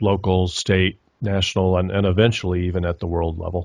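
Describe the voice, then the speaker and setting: A man with a very deep, low pitch and an American accent, flat monotone delivery, quiet background. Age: 60s. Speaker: documentary filmmaker. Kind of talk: interview. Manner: hesitant, many fillers.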